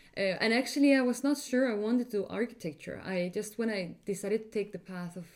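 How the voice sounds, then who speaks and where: A woman talks with an Icelandic accent. Her pitch moves in an ordinary way. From Iceland, Reykjavik. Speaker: architect. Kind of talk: interview.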